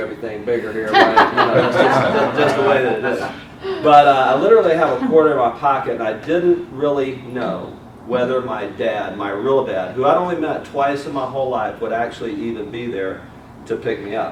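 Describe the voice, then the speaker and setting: In a Southern US accent, a man talks at a medium pitch and moderate pace with ordinary pitch variation, amid audible room echo and noticeable background noise. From US South, Mobile, Alabama. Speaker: motivational speaker. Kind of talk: motivational speech. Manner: animated.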